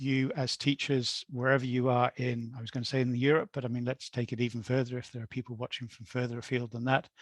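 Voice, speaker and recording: Over a quiet background, a man talks at a fairly quick pace and a medium pitch. The sound is dry and close, with no echo. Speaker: astronomy educator. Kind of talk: webinar presentation. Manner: fast.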